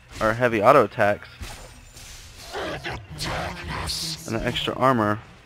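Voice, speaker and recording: A man's medium-pitched voice at a very slow pace, with music in the background. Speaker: gamer. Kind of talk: video game commentary. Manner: quiet, soft-spoken.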